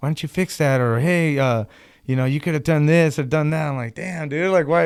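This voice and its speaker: Someone speaks at a fairly quick pace with an American accent and ordinary pitch variation. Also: man, fairly high pitch for a man. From Arizona, USA. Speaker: songwriter, lead vocalist and guitarist. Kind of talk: interview answer. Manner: casual, hesitant.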